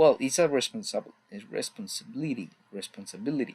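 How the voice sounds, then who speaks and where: This man speaks with a Mexican accent. His pace is moderate. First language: Spanish. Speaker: student. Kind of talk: class presentation. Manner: halting.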